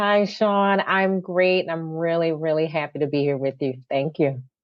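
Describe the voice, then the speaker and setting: The speaker has a Philadelphia accent. The pitch varies in an ordinary way. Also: woman, fairly low pitch for a woman. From Philadelphia, North Philly. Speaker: nonprofit CEO. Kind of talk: podcast interview. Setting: podcast.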